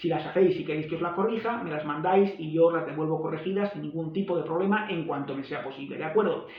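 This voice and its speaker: A man with a Spanish accent talks at a very fast pace, his high voice holding fairly even intonation. Noticeable background noise and audible room echo surround him. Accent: Spain Spanish. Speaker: language teacher. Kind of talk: tutorial.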